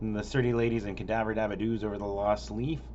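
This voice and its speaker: The voice carries vocal fry and moves at a very fast pace. Room echo is audible. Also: man. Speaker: local music concert calendar vlogger. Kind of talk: casual event listing monologue. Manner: rushed; stumbling over names.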